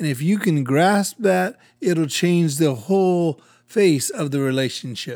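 A man talks at a fairly slow pace in a plain, everyday voice. His pitch is fairly high and his intonation lively. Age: 50s. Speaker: pastor and podcast co-host. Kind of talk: casual chat.

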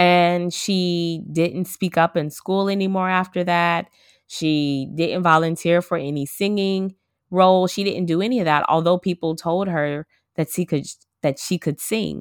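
A woman's plain, everyday voice, fairly low in pitch and fairly slow, with fairly even intonation, dry and close with no echo, on a very clean recording with a silent background. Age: 30s. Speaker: podcast host. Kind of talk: casual monologue.

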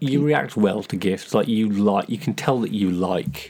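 With a plain, everyday voice, this man speaks at a fairly low pitch and uses lively intonation. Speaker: podcast co-host.

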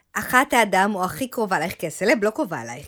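Recorded very cleanly against a silent background, a woman speaks at a fairly quick pace. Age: 40s. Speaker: podcast co-host, marketing manager. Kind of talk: casual chat.

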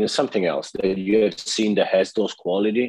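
A man speaks at a fairly quick pace in a fairly low pitch. The background is quiet. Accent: Italian. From Italy. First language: Italian. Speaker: podcast host, interviewer. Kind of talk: casual interview. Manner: halting.

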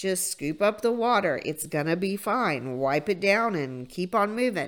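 In a very clean recording with a silent background, a woman with a medium pitch talks at a fairly slow pace in a normal speaking voice. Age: 50s. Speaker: motivational podcast host. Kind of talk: motivational monologue.

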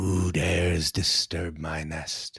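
A man's booming, raspy put-on character voice, very deep and low in pitch.

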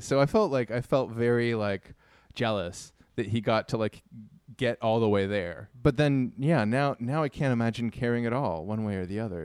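A man with a Toronto accent is heard in a very clean recording with a silent background. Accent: Canadian (Toronto). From Canada. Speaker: musician and artist. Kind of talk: casual chat.

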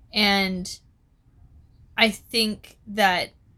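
A woman speaks loudly at a fairly high pitch, her tone bright and sharp and her intonation fairly even. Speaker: podcast host. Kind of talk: casual chat.

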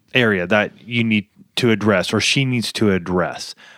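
A man with an unremarkable speaking voice, moderate pace and ordinary pitch variation, in a very clean recording with a silent background and a dry, close sound with no echo. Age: 40s. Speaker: marriage podcast co-host. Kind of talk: casual chat.

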